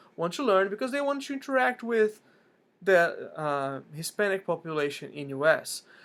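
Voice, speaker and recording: On a very clean recording with a silent background, a man with a Portuguese accent speaks at a fairly slow pace with lively intonation. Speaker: language learning vlogger. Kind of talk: casual vlog talk. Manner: frequent fillers and restarts.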